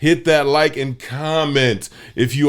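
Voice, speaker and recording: Through noticeable background noise comes a man's fairly high voice with ordinary pitch variation. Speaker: podcast co-host. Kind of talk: casual chat. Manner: stuttering.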